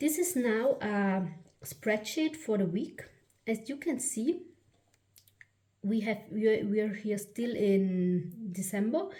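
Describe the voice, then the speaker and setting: With a German accent, a woman speaks at a very slow pace with long, frequent pauses. Her fairly high, somewhat breathy voice has a dark, mellow tone and very wide pitch swings. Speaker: planner YouTuber. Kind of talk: product flip-through. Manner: halting, many fillers and restarts.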